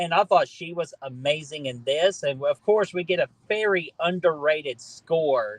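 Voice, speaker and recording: A man with a plain, everyday voice speaks at a moderate pace and fairly high pitch, with ordinary pitch variation and hardly any pauses, in a dry, close sound with no echo. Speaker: horror movie streamer. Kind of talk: live stream chat. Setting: live stream on lunch break. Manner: casual, filler-heavy.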